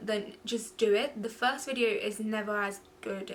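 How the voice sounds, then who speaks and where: A woman with a London accent and medium pitch. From London, England (born in Goa, India). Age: 20s. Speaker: beauty vlogger. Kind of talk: casual chat.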